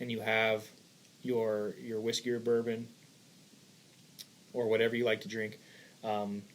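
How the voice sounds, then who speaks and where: Monotone, flat intonation at a fairly slow pace, broken by long, frequent pauses. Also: man, medium pitch for a man. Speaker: cigar podcast host. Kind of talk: casual chat.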